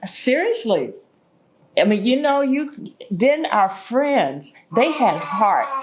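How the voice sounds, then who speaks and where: A woman with an American accent speaks very slowly at a high pitch, her loudness very even but her pitch swinging very widely, with long, frequent pauses and audible room echo. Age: 70s. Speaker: oral history interviewee. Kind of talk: oral history interview.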